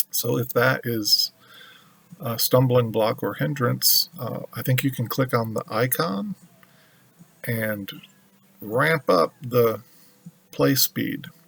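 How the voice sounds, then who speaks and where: Over noticeable background noise, a man speaks at a very slow pace with long, frequent pauses. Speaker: tarot reader. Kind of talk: tarot reading monologue. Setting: at home altar with music playing. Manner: slow with pauses; hesitant with fillers.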